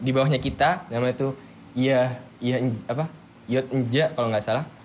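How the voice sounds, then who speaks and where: This man's voice sits at a medium pitch. His intonation stays fairly even. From Madura, Bangkalan. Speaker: university student. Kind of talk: casual chat. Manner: loud, firm intonation; halting, many fillers.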